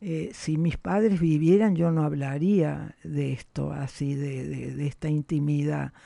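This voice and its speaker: Against a quiet background, the voice moves at a fairly slow pace. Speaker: journalist and former politician. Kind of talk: interview. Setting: studio.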